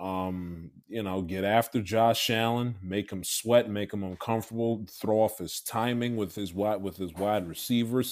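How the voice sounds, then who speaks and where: A man with a plain, everyday voice speaks at a fairly low pitch and a fairly slow pace, keeping his intonation fairly even. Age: 20s. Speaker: podcast co-host. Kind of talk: casual sports banter.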